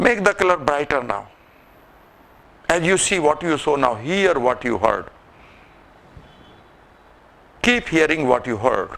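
The pace is fairly slow. It's a man doing the talking. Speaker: presenter. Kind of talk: guided visualization talk. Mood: calm, slow, soothing. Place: hall.

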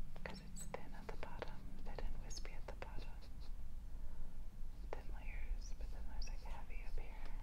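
At a moderate pace, a woman speaks with long, frequent pauses. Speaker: ASMR creator. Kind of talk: ASMR whispered magazine flip-through.

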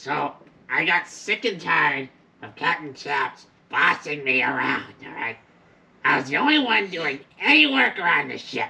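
A cartoonish character voice moves at a moderate pace with a middle pitch. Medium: puppet show. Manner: scheming, self-talking.

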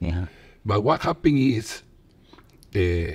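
With a Peruvian accent, a man speaks at a fairly slow pace in a fairly low, somewhat breathy voice. His intonation is lively, and the background is quiet. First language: Spanish. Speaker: football coach and former player. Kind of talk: casual interview chat. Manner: halting, non-native English. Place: home room. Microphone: studio mic.

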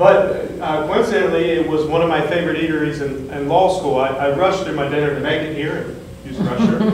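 A man with an American accent talks at a fairly quick pace, with hardly any pauses, a fairly high pitch and ordinary pitch variation. Audible room echo and light background noise are present. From southwest Ohio. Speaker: state board of education member, attorney. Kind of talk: public meeting presentation. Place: meeting room. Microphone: camera far.

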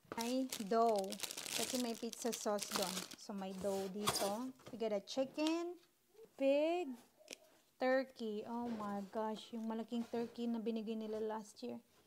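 Amid noticeable background noise, the speech goes at a very slow pace with long, frequent pauses and ordinary pitch variation. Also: woman. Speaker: vlogger. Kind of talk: casual vlog chat. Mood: cheerful, excited. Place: kitchen.

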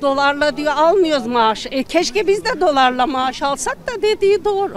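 At a moderate pace, the voice comes through with a dry sound, no echo, and light background noise. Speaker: interviewee. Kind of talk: interview answer. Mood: frustrated, complaining. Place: street. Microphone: handheld.

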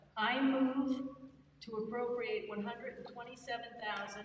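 A woman speaks amid audible room echo and light background noise. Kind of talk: formal meeting presentation. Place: hall. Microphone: podium.

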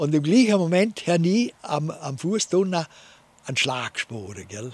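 A man speaks with a Vorarlberg accent. The sound is dry, with no echo. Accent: Vorarlberg Alemannic dialect. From Vorarlberg, Austria. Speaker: war veteran. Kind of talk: interview answer, wartime recollection. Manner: hesitant, conversational. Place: garden. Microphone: studio mic.

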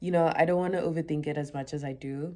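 The tone is dark and mellow, with ordinary pitch variation at a fairly quick pace. The background is quiet. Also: woman. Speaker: vlogger. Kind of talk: casual vlog chat. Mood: relaxed, reflective, upbeat. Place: home room. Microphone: phone near.

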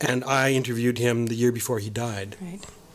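Over noticeable background noise, a man speaks at medium pitch and a fairly quick pace. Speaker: archivist and author. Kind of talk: interview. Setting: studio.

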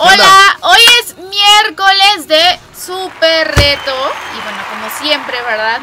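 Very slow speech over loud background noise. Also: woman. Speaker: radio host. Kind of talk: radio show banter. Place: booth. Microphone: phone near.

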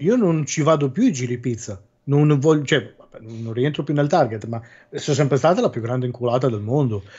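A somewhat breathy, medium-pitched man's voice at a fairly quick pace. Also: ordinary pitch variation. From Ancona, Marche. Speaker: podcast guest. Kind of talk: casual chat.

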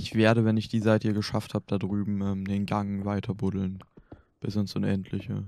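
A man with a fairly low pitch and a dark, mellow tone is speaking. The recording is very clean, with a silent background. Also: moderate pace. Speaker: gaming YouTuber. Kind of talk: casual chat. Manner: animated.

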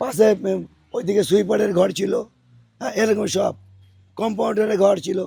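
A man with a high pitch speaks in a dark, mellow tone. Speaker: local resident. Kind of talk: on-location interview.

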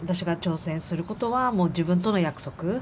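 A somewhat breathy woman's voice over light background noise. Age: 40s. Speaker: amputee marathon runner; interviewee. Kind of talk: interview testimony. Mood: earnest, emotional recollection. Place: open country.

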